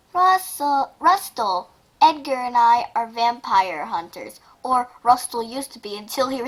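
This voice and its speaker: A woman's high-pitched put-on character voice at a moderate pace. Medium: read story. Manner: urgent.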